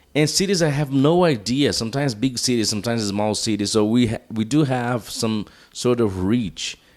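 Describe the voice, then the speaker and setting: With a Portuguese accent, a man talks at a moderate pace and medium pitch, with ordinary pitch variation and hardly any pauses. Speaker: podcast host. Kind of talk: casual chat. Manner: halting.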